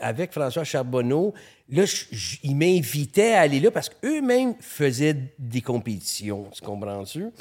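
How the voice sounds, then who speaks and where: A man with a Montreal accent, fairly high pitch, very wide pitch swings, big swings in loudness and a fairly slow pace. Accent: Montreal Quebec French. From Quebec, Montreal. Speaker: photographer. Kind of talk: casual chat. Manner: halting.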